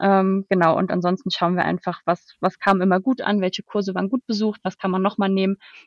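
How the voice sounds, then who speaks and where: At a fairly quick pace with hardly any pauses, a woman speaks in a medium pitch and flat monotone, the sound dry and close with no echo over a quiet background. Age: 20s. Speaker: HR consultant. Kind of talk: interview. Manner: hesitant, many filler sounds.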